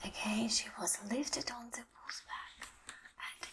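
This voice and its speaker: A whisper with a gentle tone moves at a very slow pace. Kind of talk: ASMR bedtime story reading. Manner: soft-spoken, gentle; slow, relaxing.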